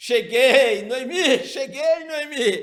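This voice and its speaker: An animated tone marks this man's speech. His pitch swings very widely. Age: 60s. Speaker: pastor, Sunday school teacher. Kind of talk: Bible study lesson.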